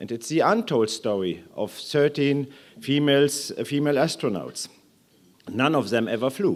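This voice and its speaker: Speaking at a moderate pace with a German accent, a man uses a fairly high pitch and lively intonation, recorded very cleanly against a silent background. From Germany. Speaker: aerospace executive. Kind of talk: conference speech. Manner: hesitant with fillers.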